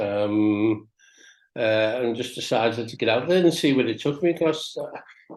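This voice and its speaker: A man's medium-pitched voice with lively intonation at a fairly slow pace, over a quiet background. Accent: Liverpool. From Liverpool, England. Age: 60s. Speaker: DJ and producer. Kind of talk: interview. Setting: podcast.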